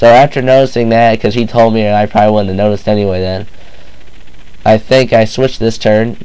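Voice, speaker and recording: A man with a fairly low pitch and a fairly quick pace, over noticeable background noise. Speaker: gamer, video game commentator. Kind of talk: casual game battle narration.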